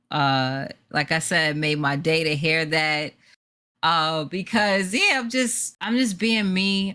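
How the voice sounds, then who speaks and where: Speaking with a New York accent, a woman moves at a fairly slow pace with lively intonation and a very deep, low pitch. Her tone is bright and sharp, and the recording is very clean with a silent background. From New York City. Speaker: esports producer and host. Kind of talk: casual interview.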